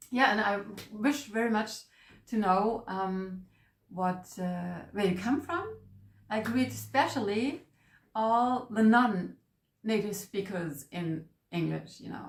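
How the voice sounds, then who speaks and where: Somewhat breathy, a woman speaks at a medium pitch with ordinary pitch variation. She goes at a very slow pace, with long, frequent pauses. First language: German. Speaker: manifestation coach. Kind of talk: casual vlog introduction. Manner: halting.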